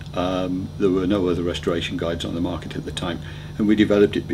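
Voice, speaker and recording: Audible room echo, ordinary pitch variation and noticeable background noise. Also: man. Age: 60s. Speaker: motoring author. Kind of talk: interview answers. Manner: hesitant, with ums and repeated words.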